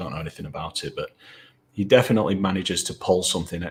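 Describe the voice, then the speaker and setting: Speaking at a very fast pace, a man talks in a northern English accent. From northern England. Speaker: novelist. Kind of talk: casual interview. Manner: halting.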